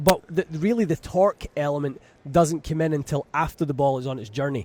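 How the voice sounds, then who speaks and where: A man with a Scottish accent speaks at a fairly quick pace, his fairly high pitch showing ordinary variation. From Scotland, west coast near Glasgow. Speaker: golf club fitter. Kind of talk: radio interview. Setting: radio booth at a trade show.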